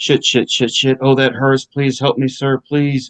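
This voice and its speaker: The dry, close sound has no echo as a man with a medium pitch speaks at a moderate pace in monotone, flat intonation. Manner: strained, stifled by heavy grunts and breaths.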